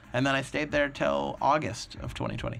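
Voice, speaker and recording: A man with an American accent sounds animated, with lively intonation. Noticeable background noise runs behind him. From Minnesota. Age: 20s. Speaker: stand-up comedian. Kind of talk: casual chat. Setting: studio.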